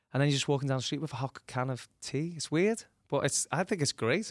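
Here a man speaks at a fairly quick pace with a Liverpool accent. The sound is dry and close with no echo, in a very clean recording with a silent background. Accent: Scouse (Liverpool). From Liverpool, England. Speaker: tribute act musician. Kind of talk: interview. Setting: studio.

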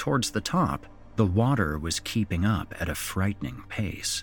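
A man speaks with very wide pitch swings. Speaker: horror podcast host and story narrator. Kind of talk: spooky horror story narration read aloud. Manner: theatrical, voicing characters' dialogue; suspenseful, measured storytelling pace.

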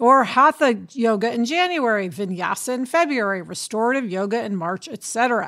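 An unremarkable speaking voice moves at a fairly quick pace with lively intonation and hardly any pauses. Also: woman, fairly high pitch for a woman. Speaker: podcast co-host, TV writer and producer. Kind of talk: casual chat. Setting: remote from a film set.

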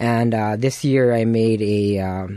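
With a Canadian accent, a man talks at a medium pitch in a dark, mellow tone against a quiet background. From Winnipeg, Canada. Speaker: chef, cooking show runner-up. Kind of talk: radio interview.

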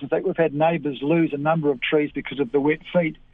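A man speaks with a New Zealand accent at a fairly high pitch. His pace is fairly quick. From New Zealand, rural Canterbury. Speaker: avocado grower. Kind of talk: radio interview.

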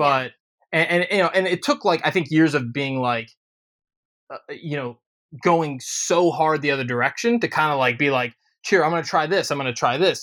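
On a very clean recording with a silent background, a man with an American accent and an unremarkable speaking voice talks at a moderate pace and a fairly high pitch with ordinary pitch variation. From Ohio. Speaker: musician. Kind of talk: casual chat.

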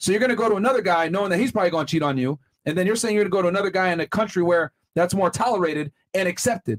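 Speaking very fast in an animated tone, a man with a high pitch keeps his loudness very even in a dry, close sound with no echo. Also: ordinary pitch variation. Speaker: podcast host. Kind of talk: casual chat. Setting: studio.

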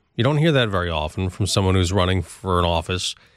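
A man with an ordinary speaking voice talks at a fairly quick pace with lively intonation. The recording is very clean with a silent background. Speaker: radio host. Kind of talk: news interview. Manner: formal.

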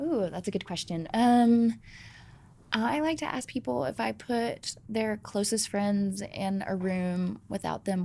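A woman's dark, mellow tone with lively intonation and an American accent. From Georgia, US South. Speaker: ice cream company founder and CEO. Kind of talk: interview conversation.

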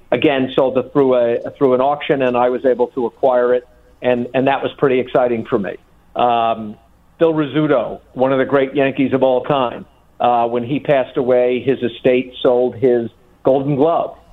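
A man with a New York accent speaks in monotone, flat intonation. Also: medium pitch for a man, moderate pace. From New York City (Bronx). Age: 60s. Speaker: sports memorabilia collector. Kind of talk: radio interview.

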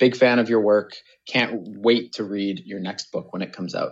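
Intonation stays fairly even as a man talks at a moderate pace. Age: 20s. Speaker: caller, business strategist and caregiver. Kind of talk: recorded voicemail question. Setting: recorded call.

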